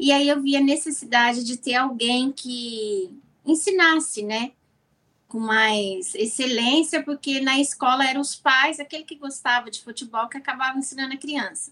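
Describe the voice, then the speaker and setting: A woman speaks in a raised, projected voice with a high pitch. Her pace is moderate and her pitch variation ordinary. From Brazil. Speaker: business owner, sponsor. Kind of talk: casual interview.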